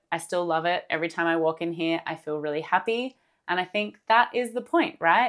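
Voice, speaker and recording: On a very clean recording with a silent background, a woman speaks with an Australian accent. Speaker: crochet artist and craft vlogger. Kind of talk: casual vlog talk to camera. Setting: home craft room. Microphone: new microphone set.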